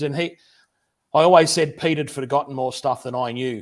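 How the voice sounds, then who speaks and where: On a very clean recording with a silent background, a man of medium pitch speaks fairly quickly with fairly even intonation. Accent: Australian. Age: 50s. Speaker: machinist YouTuber and teacher. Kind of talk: livestream interview. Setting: home workshop.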